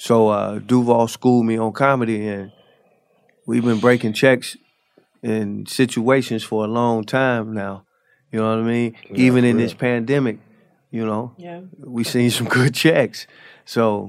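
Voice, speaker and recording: Speaking fairly slowly, a man uses an unremarkable speaking voice at a medium pitch, with fairly even intonation. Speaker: rapper. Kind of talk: casual chat.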